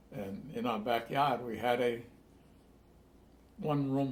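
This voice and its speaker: A man with a Rhode Island accent at a fairly slow pace, with ordinary pitch variation and audible room echo. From Newport, Rhode Island. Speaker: longtime resident. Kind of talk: oral history interview.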